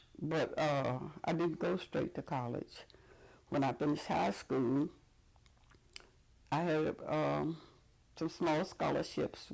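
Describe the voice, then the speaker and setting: With a Mississippi accent and vocal fry, a woman speaks at a very slow pace with long, frequent pauses, her very deep, low pitch showing ordinary variation at a very even loudness. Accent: Southern US (Mississippi). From Jackson, Mississippi. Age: 80s+. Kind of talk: oral history interview answer. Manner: hesitant, conversational.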